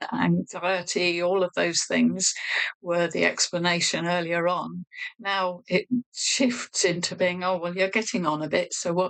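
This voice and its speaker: The woman speaks at a fairly slow pace with a fairly low pitch in a normal speaking voice. Her loudness stays very even. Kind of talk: interview answer.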